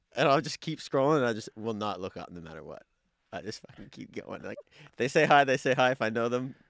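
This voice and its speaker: A man's very fast, lively-intoned speech with vocal fry, in a very clean recording with a silent background. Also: medium pitch for a man, big swings in loudness. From Nova Scotia, Canada. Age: 30s. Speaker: guest. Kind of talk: casual chat.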